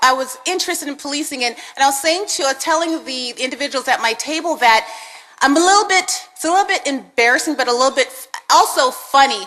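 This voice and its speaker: Raising and projecting her high voice, a woman talks at a fairly quick pace with lively intonation over noticeable background noise. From Canada (Winnipeg), born in Jamaica. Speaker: police sergeant, mentor speaker. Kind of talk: speech to audience. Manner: halting.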